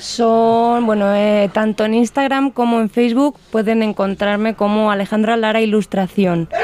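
Speaking fairly slowly with a Spanish accent, a woman keeps her loudness very even at a fairly high pitch while noticeable background noise runs beneath. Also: fairly even intonation. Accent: Spanish (Spain). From Spain (Castilla-La Mancha). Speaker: illustrator. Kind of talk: interview.

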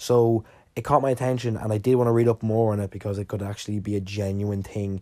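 A man with an Irish accent talks fairly quickly in a dark, mellow tone, in a very clean recording with a silent background. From Ireland. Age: 20s. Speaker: podcast host. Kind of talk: casual solo monologue. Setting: sitting alone recording.

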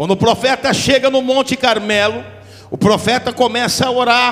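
A man speaks in an animated tone at an extremely high pitch and a moderate pace, with noticeable background noise. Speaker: visiting preacher. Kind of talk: sermon with prophecy. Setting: church. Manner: animated, fervent, call-and-response.

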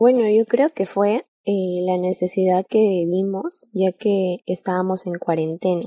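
A woman speaks at a very slow pace in a dark, mellow tone at medium pitch. Her intonation is monotone and flat, and the sound is dry and close with no echo. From Peru. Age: young. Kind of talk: religious podcast chat.

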